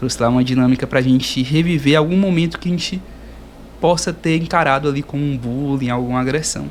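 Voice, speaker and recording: Speaking at a fairly quick pace, this man has a fairly high pitch. His pitch variation is ordinary. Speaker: podcast host, geography student. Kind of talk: casual interview.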